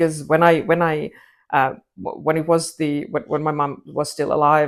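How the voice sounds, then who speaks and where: With a Finnish accent, a woman speaks at a moderate pace in a very deep, low pitch and a monotone, flat intonation on a very clean recording with a silent background. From Finland. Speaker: crime writer. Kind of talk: interview. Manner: halting.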